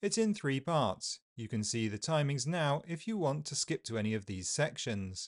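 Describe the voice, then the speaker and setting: A man's medium-pitched voice with a southern British accent, very wide pitch swings, and a dry, close sound with no echo over a quiet background. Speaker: English pronunciation teacher. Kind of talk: tutorial. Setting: video with live feed.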